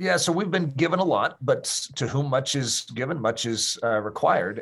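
With lively intonation and an ordinary speaking voice, a man keeps a moderate pace in a very clean recording over a silent background. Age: 50s. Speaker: pastor and author. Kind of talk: interview.

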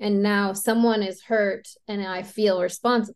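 A woman talks in a plain, everyday voice at medium pitch. Her intonation is fairly even, and the background is quiet. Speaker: NLP coach and podcast host. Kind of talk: casual chat.

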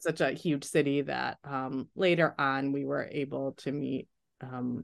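Against a quiet background, a woman speaks with vocal fry at a very deep, low pitch. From US Midwest (small town in Michigan). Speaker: physician, infectious disease specialist. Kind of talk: interview.

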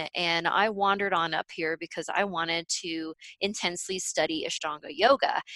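An energetic, bright, sharp tone at a moderate pace with ordinary pitch variation. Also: woman, fairly low pitch for a woman. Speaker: subconscious reprogramming facilitator and business coach. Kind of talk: interview conversation.

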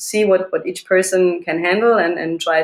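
A woman with a plain, everyday voice speaks at a moderate pace, her intonation fairly even. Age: 40s. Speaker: self-defense instructor. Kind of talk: interview.

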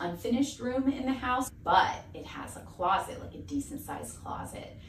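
Fairly quick, nearly pauseless speech from a woman with an American accent, fairly high in pitch, with lively intonation, big swings in loudness and noticeable background noise. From US South. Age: 30s. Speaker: TV host and tech producer, former art teacher. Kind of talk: interview.

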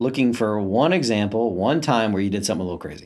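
On a very clean recording with a silent background, a man with a plain, everyday voice and an American accent talks at a fairly quick pace and a fairly low pitch, with ordinary pitch variation. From North Carolina, Charlotte. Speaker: dentist. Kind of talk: interview. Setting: in an office.

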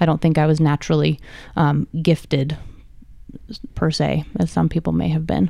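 Speaking with an American accent at a moderate pace, a woman keeps her loudness very even and leaves long, frequent pauses. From Nevada, US. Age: 30s. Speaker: martial artist and ex-professional dancer. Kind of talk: casual chat.

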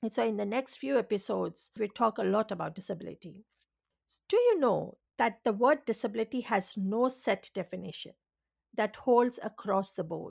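A woman at a moderate pace, vocal fry and ordinary pitch variation, big swings in loudness, on a very clean recording with a silent background. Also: fairly high pitch for a woman. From India, island seaside village. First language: non-English (Indian language). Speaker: registered nurse and educator hosting a podcast. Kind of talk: casual educational monologue. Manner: hesitant, searching for words.

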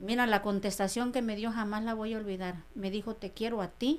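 A woman's fairly high-pitched voice, a normal speaking voice, with ordinary pitch variation. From Mexico, Sierra Mixe of Oaxaca. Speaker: restaurant owner. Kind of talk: interview testimony.

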